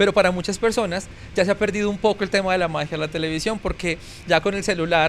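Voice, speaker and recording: Fairly quick and fairly even in intonation, a man with a Bogotá accent speaks at a high pitch. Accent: Bogotá Colombian Spanish (rolo). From Colombia, Bogotá. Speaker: TV news presenter and journalist. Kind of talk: podcast interview.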